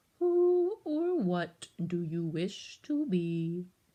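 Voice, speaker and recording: A female-sounding voice puts on a character voice of medium pitch. The pace is very slow. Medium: read story. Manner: solemn, riddling.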